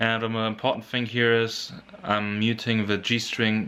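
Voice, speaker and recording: Speech with a non-native accent comes at a fairly slow pace in a monotone, flat intonation, with noticeable background noise behind it. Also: man. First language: not English. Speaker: guitar teacher. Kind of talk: tutorial. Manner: halting.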